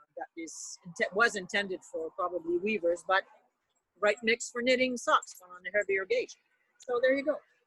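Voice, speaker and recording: The speaker has a Quebec accent, a moderate pace and lively intonation. Loudness swings widely, and the sound is dry and close with no echo. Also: woman, fairly high pitch for a woman. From Montreal, Quebec. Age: 60s. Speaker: retired knitting teacher. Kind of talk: casual interview chat. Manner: halting, with many fillers.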